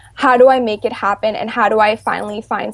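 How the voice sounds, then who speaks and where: A woman with a Canadian accent speaks at a moderate pace, her fairly high voice carrying vocal fry and fairly even intonation. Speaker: children's author and policy analyst. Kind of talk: interview.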